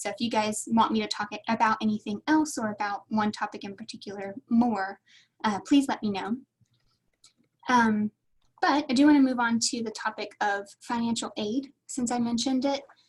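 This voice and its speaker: A woman's fairly high, somewhat breathy voice shows ordinary pitch variation. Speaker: graduate admissions staff presenter. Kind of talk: online workshop presentation. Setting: webinar with chat. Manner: fast.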